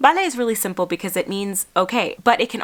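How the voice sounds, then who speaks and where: This woman's voice sits at a fairly high pitch. Her tone is animated and her intonation lively. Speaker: travel vlogger and linguist. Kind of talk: tutorial.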